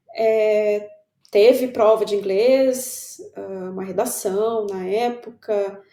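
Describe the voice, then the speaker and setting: A woman with a fairly high voice talks very slowly, her intonation fairly even. Her loudness swings widely, and room echo is audible. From São Paulo, Brazil. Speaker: writer. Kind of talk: casual chat.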